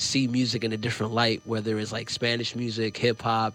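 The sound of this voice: Loud and at a fairly quick pace, a man speaks with fairly low pitch, a fairly bright tone and monotone, flat intonation.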